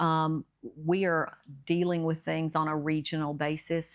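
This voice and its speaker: In a Tennessee accent, a woman speaks at a fairly slow pace with a very deep, low pitch and fairly even intonation, on a very clean recording with a silent background. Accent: Southern American (Tennessee). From Smyrna, Tennessee. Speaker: mayor. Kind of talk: podcast interview answer.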